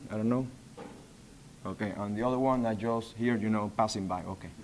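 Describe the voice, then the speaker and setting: With a Spanish accent, a man speaks in fairly even intonation. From Panama. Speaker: data center facilities manager. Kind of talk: conference presentation. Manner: halting.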